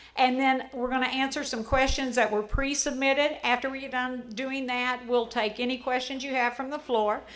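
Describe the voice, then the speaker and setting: Loud and monotone, a woman with a high pitch speaks at a moderate pace in a room with audible echo. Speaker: HOA president. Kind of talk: town hall address.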